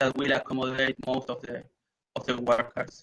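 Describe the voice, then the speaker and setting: A man with an Argentine accent, medium pitch, monotone, flat intonation and a moderate pace. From Argentina. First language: Spanish. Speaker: renewable energy project manager. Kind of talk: conference Q&A. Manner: halting, with many repeated words and fillers.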